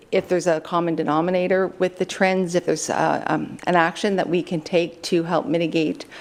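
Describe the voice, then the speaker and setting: Fairly quick and fairly even in intonation, a woman with a Canadian accent speaks in a fairly low pitch. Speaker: police detachment commander. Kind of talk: council presentation. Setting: council chamber. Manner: fast.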